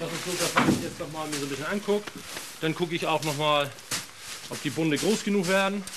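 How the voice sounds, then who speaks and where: Over noticeable background noise, a man with a fairly high voice talks at a fairly quick pace, with fairly even intonation and long, frequent pauses. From northern Germany, Schleswig-Holstein. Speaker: reed farmer and lock keeper. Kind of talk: casual interview.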